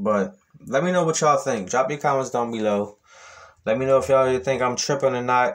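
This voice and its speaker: A man talks at a fairly quick pace. Behind him, the background is quiet. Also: ordinary pitch variation. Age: 30s. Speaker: YouTube commentator. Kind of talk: reaction video monologue. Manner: casual with many fillers.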